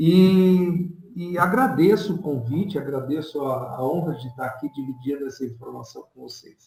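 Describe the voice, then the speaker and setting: A plain, everyday voice, it keeps a moderate pace with ordinary pitch variation and hardly any pauses. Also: man, fairly high pitch for a man. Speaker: professor and author of statistics book on covid. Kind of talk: online presentation and Q&A.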